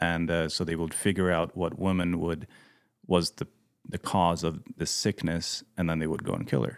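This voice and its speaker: A man with a Swedish accent speaks at a very deep, low pitch. His intonation is fairly even and his pace moderate. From Sweden. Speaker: missionary pilot and mechanic. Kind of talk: casual interview chat.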